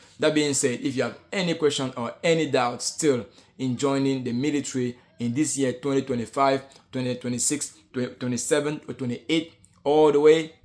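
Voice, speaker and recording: Music plays in the background. The speaker keeps a moderate pace with fairly even intonation. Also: man. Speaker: soldier, military vlogger. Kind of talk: vlog monologue. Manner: halting, many repetitions and fillers.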